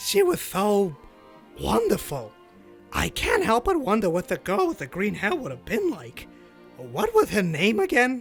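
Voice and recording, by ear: Over faint music, a man does a cartoonish character voice, high-pitched with a slightly husky edge and vocal fry, going fairly slowly with very wide pitch swings.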